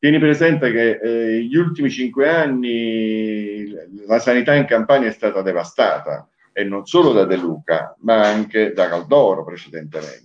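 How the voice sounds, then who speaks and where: Using an unremarkable speaking voice, a man speaks at medium pitch and a fairly slow pace with lively intonation. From Taranto, Puglia, raised in Naples. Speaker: craft association president, businessman. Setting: video call.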